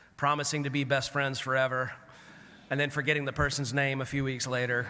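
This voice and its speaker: With audible room echo, a man with an American accent talks in a monotone, flat intonation. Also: fairly high pitch for a man, fairly quick pace. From US South. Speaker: clergy keynote speaker. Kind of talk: keynote address. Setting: conference at a camp with audience. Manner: conversational, storytelling.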